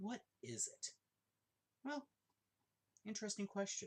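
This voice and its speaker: A man speaking at a moderate pace. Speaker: forklift operator and amateur theology writer. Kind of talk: casual monologue. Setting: at home. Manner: halting.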